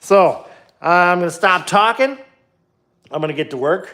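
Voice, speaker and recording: With an American accent, a man is talking. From Minnesota, US Upper Midwest. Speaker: DIY car builder livestreamer. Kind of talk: casual livestream while working in garage. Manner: casual, filler-heavy with many ums.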